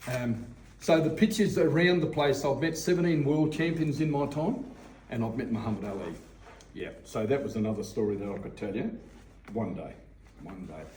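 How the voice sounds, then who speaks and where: This speaker, with an Australian accent, moves at a moderate pace with very wide pitch swings and long, frequent pauses. Audible room echo surrounds the voice. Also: man, fairly high pitch for a man. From Victoria, Australia. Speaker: boxing coach. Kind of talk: casual interview. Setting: boxing gym. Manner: animated.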